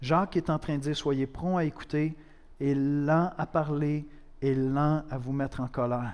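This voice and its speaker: A man with an ordinary speaking voice, fairly high in pitch, at a fairly slow pace with fairly even intonation. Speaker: pastor. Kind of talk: sermon, preaching to a congregation, with a prayer. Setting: church. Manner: conversational, direct, addressing the listener as "tu"; earnest, with dry humor and rhetorical questions.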